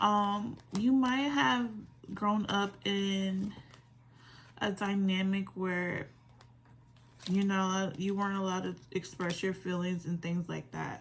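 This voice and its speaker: A woman speaks in a relaxed, somewhat breathy voice at medium pitch with ordinary pitch variation. Her pace is fairly slow, with long, frequent pauses. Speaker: tarot reader. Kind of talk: tarot reading.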